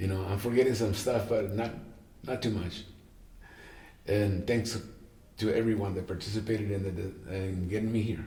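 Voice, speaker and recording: A dark, mellow, somewhat breathy voice speaks flatly at a moderate pace, with long, frequent pauses and audible room echo. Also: man, fairly low pitch for a man. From Mexico, Tijuana. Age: 70s. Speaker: jazz guitarist. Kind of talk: interview. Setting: at home.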